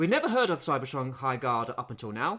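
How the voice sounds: Fast and fairly bright in tone, a man talks at a medium pitch with big pitch swings.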